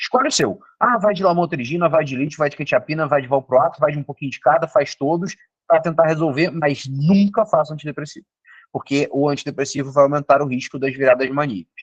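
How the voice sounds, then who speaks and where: A man speaks at a fairly high pitch and a fairly quick pace. His voice is somewhat breathy, and the sound is dry and close with no echo. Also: ordinary pitch variation. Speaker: psychiatrist. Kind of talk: lecture. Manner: fast.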